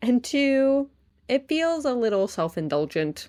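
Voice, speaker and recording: Recorded very cleanly against a silent background, the speaker has an American accent and very wide pitch swings. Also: woman. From US, upstate New York. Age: 30s. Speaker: podcast host. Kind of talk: casual podcast monologue. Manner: animated.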